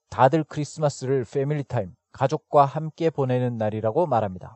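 A plain, everyday voice from a man, medium in pitch with ordinary pitch variation. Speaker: podcast host teaching English expressions. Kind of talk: educational narration with repeat-after-me drills.

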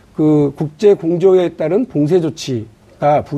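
A man talks in a high pitch with a dark, mellow tone and lively intonation. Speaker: ruling party lawmaker. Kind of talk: political debate. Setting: studio. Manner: laughs often, argumentative.

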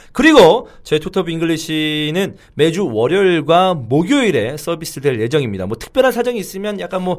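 Male speaker, very wide pitch swings, moderate pace, very clean recording with a silent background. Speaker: football commentator and podcast co-host. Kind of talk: casual chat.

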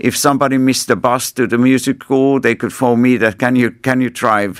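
The man speaks at a moderate pace in a dry, close sound with no echo. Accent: Finnish. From Finland. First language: Finnish. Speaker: ambassador. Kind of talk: interview. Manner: halting.

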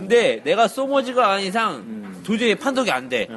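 Noticeable noise runs in the background. The delivery holds a moderate speed. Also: man. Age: 30s. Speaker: podcast panelist. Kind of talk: casual chat.

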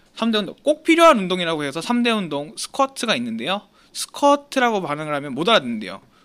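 A man with a high-pitched voice talks at a very fast clip, his pitch swinging very widely. His tone is bright and sharp. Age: 20s. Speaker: podcast co-host. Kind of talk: casual chat.

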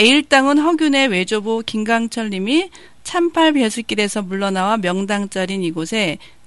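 Against a quiet background, a woman talks at a moderate pace. Her fairly high pitch moves in very wide swings. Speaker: radio host. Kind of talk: casual radio interview.

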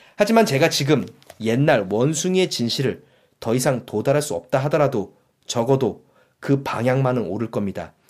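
A man has a normal speaking voice, medium in pitch, at a fairly quick pace. The recording is very clean, with a silent background. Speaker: audiobook podcast host. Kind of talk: reading aloud. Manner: formal.

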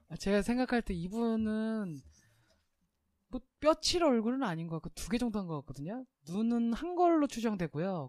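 Speech at a moderate pace, very clean recording, silent background. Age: 30s. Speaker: podcast host, cosmetic surgery commentator. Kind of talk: casual chat.

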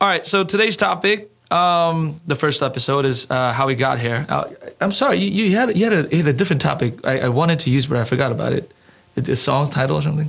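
A man talks very fast at a fairly high pitch with lively intonation. His loudness stays very even. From South Korea. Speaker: language school owner. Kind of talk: casual chat. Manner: halting.

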